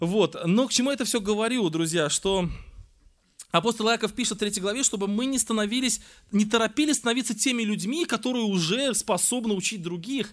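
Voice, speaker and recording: In a very clean recording with a silent background, a man with a high pitch talks at a fairly quick pace with ordinary pitch variation. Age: 40s. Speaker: preacher. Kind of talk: sermon.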